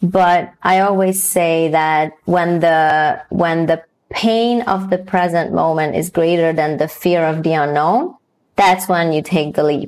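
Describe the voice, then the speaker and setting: A woman with a Hungarian accent talks at a very slow pace, her fairly low voice keeping fairly even intonation and very even loudness. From Hungary. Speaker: DEI consultant and coach. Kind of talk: interview.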